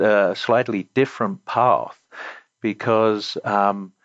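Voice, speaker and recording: A man with an English accent, medium in pitch, at a very slow pace. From England, Essex (Romford). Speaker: company CEO. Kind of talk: interview. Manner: hesitant, many fillers.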